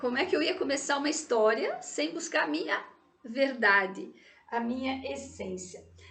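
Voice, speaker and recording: A woman speaks in a high pitch with very wide pitch swings. Her pace is moderate, and the room echo is audible. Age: 60s. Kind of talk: personal testimony.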